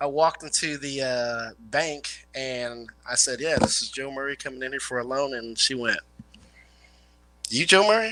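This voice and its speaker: The speaker is a man with a medium pitch. His pace is moderate and his pitch variation ordinary. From Illinois/Indiana area. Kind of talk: casual chat.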